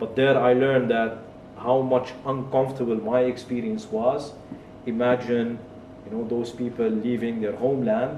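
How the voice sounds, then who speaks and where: At a moderate pace, monotone, flat intonation comes through noticeable background noise and audible room echo. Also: man. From Kuwait. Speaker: tech entrepreneur and author. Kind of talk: interview, personal life story.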